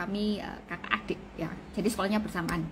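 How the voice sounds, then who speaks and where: A woman talks at a fairly quick pace with a medium pitch and a strong Javanese accent. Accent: thick Javanese (medok). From Indonesia, Surabaya (East Java). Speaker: doctor. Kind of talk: live-stream health talk. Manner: casual, conversational.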